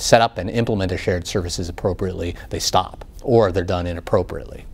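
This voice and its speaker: A man speaks in a very deep, low pitch with fairly even intonation. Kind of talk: interview answer. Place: studio.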